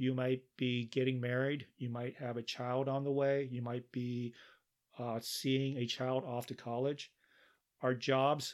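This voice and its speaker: A plain, everyday voice speaks at a moderate pace with fairly even intonation on a very clean recording with a silent background. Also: man. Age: 60s. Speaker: podcast host. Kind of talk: solo podcast monologue. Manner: measured, with frequent fillers.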